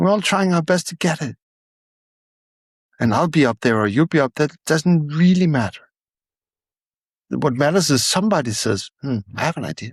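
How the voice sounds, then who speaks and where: Somewhat breathy and fairly high-pitched, a man with a non-native accent uses lively intonation at a moderate pace, with long, frequent pauses, in a dry, close sound with no echo. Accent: non-native English, noticeable. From Denmark. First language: Danish. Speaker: storyteller. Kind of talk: interview. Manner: halting.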